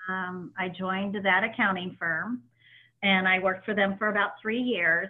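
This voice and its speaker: Talking in a normal speaking voice with an American accent, a woman keeps a moderate pace and fairly even intonation. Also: medium pitch for a woman. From Indianapolis, Indiana. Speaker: radiology practice executive, association president. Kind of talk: interview.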